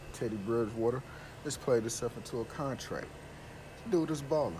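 A man's nasal voice at a medium pitch, with a moderate pace and ordinary pitch variation

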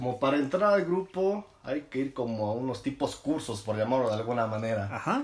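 Using a plain, everyday voice, a man talks at a moderate pace with a medium pitch and lively intonation. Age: 20s. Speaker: podcast co-host. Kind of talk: casual chat.

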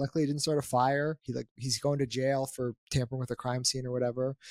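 A man talks at a fairly quick pace in an unremarkable speaking voice of medium pitch. The sound is dry and close, with no echo. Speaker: ecommerce founder and podcast host. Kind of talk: casual chat.

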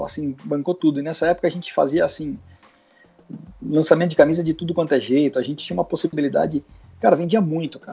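A man at a very fast pace, with long, frequent pauses, big swings in loudness and fairly even intonation. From Brazil, Guarulhos (São Paulo). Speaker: former football club press officer, now sports training entrepreneur. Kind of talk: casual interview chat. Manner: hesitant, repeats words.

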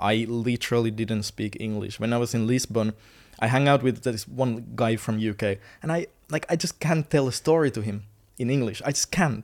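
A man with a Finnish accent, medium pitch, ordinary pitch variation and a moderate pace, on a very clean recording with a silent background. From Finland. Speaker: content creator. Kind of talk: casual interview chat. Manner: nervous, halting.

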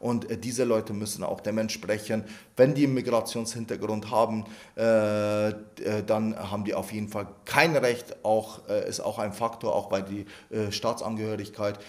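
Fairly slow, fairly low speech from a man, flat and monotone in intonation. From Iraq, then Lower Bavaria from age 11. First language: Arabic (speaking German). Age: 30s. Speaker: member of parliament. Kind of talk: interview. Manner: hesitant, many fillers and repetitions.

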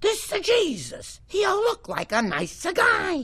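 A woman puts on a character voice in an Italian accent, speaking at a fairly slow pace in a raised, projected voice with extremely high pitch. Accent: exaggerated Italian. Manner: mocking.

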